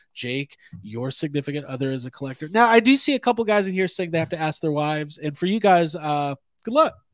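On a very clean recording with a silent background, a man with an ordinary speaking voice and fairly high pitch talks at a fairly quick pace, with lively intonation and hardly any pauses. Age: 30s. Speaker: toy podcast host. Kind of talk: casual chat. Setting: live stream.

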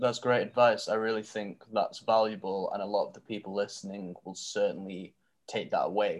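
A man with a Mancunian accent talks at a moderate pace. His loudness swings widely. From Manchester, northern England. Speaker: podcast host. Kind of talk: casual interview.

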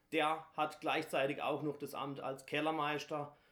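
The man's intonation is monotone and flat. He speaks at a fairly slow pace. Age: 30s. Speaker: carnival guild leader. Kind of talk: interview.

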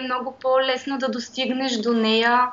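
Her pitch is high and her intonation monotone and flat as this woman speaks. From Bulgaria, Pirdop. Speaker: graphic designer. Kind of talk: interview.

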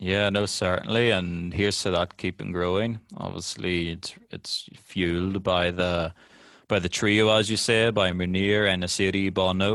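In a very clean recording with a silent background, a man speaks fairly slowly in a monotone, flat delivery at a very deep, low pitch. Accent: Northern Irish. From Northern Ireland. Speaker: football podcast host. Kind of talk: casual chat.

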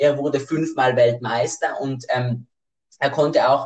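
A somewhat breathy man's voice, fairly high in pitch, at a fairly slow pace with fairly even intonation. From South Tyrol, Italy. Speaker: podcast co-host. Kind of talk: casual chat. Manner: hesitant, many fillers.

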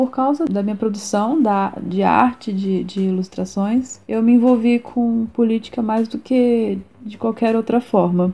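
A woman speaks at a fairly slow pace with hardly any pauses, her fairly high voice somewhat breathy and dark, mellow in tone. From Brazil, Minas Gerais (Juiz de Fora). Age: 20s. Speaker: illustrator and art student. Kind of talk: interview. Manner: halting.

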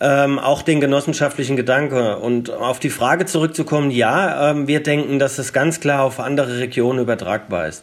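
Moderate pace, hardly any pauses, ordinary pitch variation, and noticeable background noise. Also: man, fairly high pitch for a man. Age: 40s. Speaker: energy cooperative founder and CEO. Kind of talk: interview. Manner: frequent filler hesitations.

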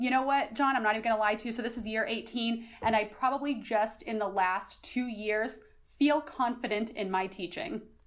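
With an American accent, a woman speaks fairly quickly at a fairly high pitch with ordinary pitch variation in an ordinary speaking voice. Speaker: high school social studies teacher. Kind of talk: casual interview. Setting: podcast interview.

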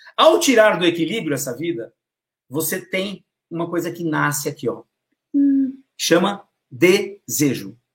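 A man's high-pitched voice with lively intonation. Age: 50s. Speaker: storytelling consultant. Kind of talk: casual interview on a live stream. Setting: live video stream. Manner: animated.

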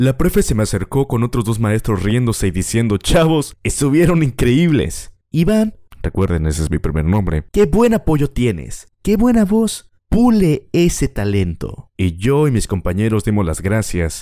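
In a Mexican accent, a man with a dark, mellow tone speaks at a medium pitch with very wide pitch swings. He keeps a fairly slow pace with hardly any pauses, and the recording is very clean, with a silent background. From Mexico, Acapulco. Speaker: podcast host. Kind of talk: personal storytelling.

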